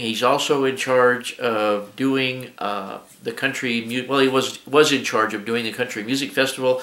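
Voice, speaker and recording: A man's medium-pitched, flat, monotone voice at a fairly slow pace. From New Mexico. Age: 60s. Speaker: hobby shop owner, YouTuber. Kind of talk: casual video introduction. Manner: halting, many fillers.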